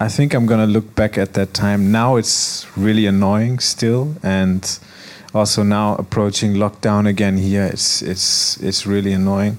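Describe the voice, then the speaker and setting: Over noticeable background noise, the speaker keeps a very even loudness and fairly even intonation. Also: man, fairly low pitch for a man. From Germany, Frankfurt. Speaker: DJ and music producer. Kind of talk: panel interview. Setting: stage with audience.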